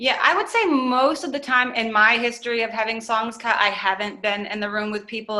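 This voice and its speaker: A woman speaks in an ordinary speaking voice with an American accent. Her pace is fairly quick and her intonation fairly even. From US Northeast (Maine). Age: 30s. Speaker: singer-songwriter and producer. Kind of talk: interview. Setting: podcast. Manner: casual, many fillers.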